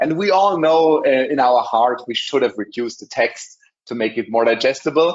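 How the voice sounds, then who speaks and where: Over a quiet background, a man with a German accent speaks at a fairly quick pace with ordinary pitch variation. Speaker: software presenter; presenter. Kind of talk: webinar product demo. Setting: online webinar. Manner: many filler sounds. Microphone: video call.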